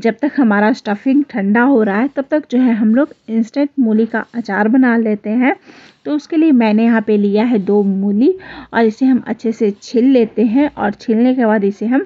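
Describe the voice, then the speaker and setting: The woman speaks at a fairly slow pace with ordinary pitch variation. Her loudness stays very even. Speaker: home cook vlogger. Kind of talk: cooking tutorial.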